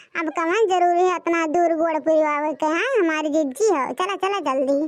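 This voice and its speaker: In a cartoonish character voice, a female-sounding speaker talks at a moderate pace with an extremely high pitch. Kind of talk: comic cartoon voice acting. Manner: loud, rustic, chattering.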